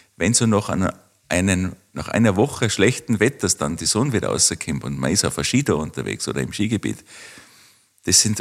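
This man has a fairly low pitch with vocal fry and very wide pitch swings. His pace is moderate. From Austria, Tyrol (Kitzbühel district). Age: 40s. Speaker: winter tourism researcher. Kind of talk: interview.

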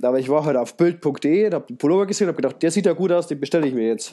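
A man talks at a very fast pace in a dark, mellow tone. His pitch varies in an ordinary way. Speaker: podcast host. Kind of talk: casual chat.

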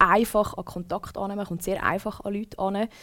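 A woman with a medium pitch speaks in a monotone, flat way. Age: 20s. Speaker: former radio presenter. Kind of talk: casual chat.

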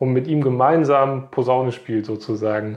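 A man talks at a moderate pace and medium pitch in an unremarkable speaking voice. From Westphalia, Germany (near Paderborn). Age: 30s. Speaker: local councillor and electrical engineer. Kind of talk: interview.

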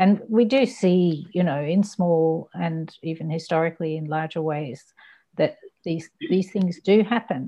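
Her dark, mellow tone sits at a fairly low pitch as this woman speaks at a moderate pace with lively intonation. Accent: Australian. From Australia (Ballarat, Western Victoria), born abroad. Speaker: novelist and poet. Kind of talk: interview. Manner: halting.

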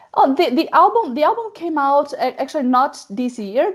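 A woman with a Portuguese accent and lively intonation. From Brazil. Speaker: metal singer and actress. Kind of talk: interview.

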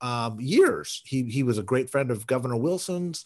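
A man with an unremarkable speaking voice talks at a fairly slow pace in a medium pitch, with lively intonation over a quiet background. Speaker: podcast host.

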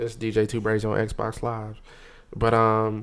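This man talks very slowly. He has an American accent. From North Carolina, Raleigh. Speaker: DJ and military serviceman. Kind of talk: casual chat. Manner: animated.

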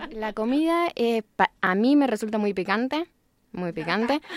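A woman uses a normal speaking voice at a fairly high pitch, with lively intonation and a fairly slow pace. The sound is dry and close, with no echo. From Argentina, San Nicolás, Buenos Aires province. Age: 20s. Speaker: English teacher. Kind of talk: interview.

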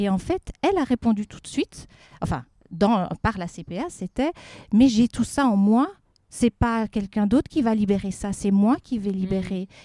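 A woman talks at a moderate pace with lively intonation and a dark, mellow tone. The recording is very clean, with a silent background. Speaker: speech therapist. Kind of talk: interview. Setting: outdoors in a garden.

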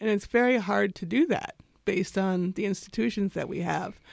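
Speaking at a moderate pace with vocal fry and ordinary pitch variation, a woman comes through in a very clean recording with a silent background. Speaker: doula and birth photographer. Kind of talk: interview conversation.

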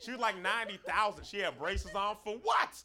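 A man with an American accent projects his voice at a high pitch. Noticeable background noise runs underneath. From Florida. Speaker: stand-up comedian. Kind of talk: stand-up. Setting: stage with audience.

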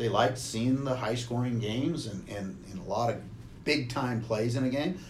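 A man's medium-pitched voice with an American accent, at a moderate pace with ordinary pitch variation, in audible room echo. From US Pacific Northwest (Walla Walla, Washington). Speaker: retired football coach and athletic administrator. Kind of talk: casual interview.

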